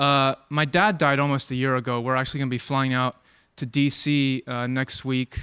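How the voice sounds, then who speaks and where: A man with an American accent uses an ordinary speaking voice at a medium pitch, moderate pace and fairly even intonation, in a very clean recording with a silent background. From Maryland, Takoma Park. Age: 40s. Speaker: doctor. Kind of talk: testimony.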